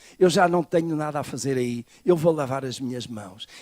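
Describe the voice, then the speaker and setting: A man with a normal speaking voice, fairly high in pitch with ordinary variation, sounds dry and close, with no echo. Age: 60s. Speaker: pastor. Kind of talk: sermon. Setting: church.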